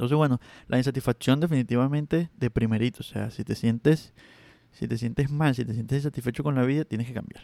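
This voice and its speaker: A man talks at a very fast pace with a dark, mellow tone, medium pitch and fairly even intonation. The recording is very clean with a silent background and a dry, close sound with no echo. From Venezuela. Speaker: podcast host, freelance web designer. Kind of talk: solo podcast monologue. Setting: alone recording. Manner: halting, repeats words; trembling voice.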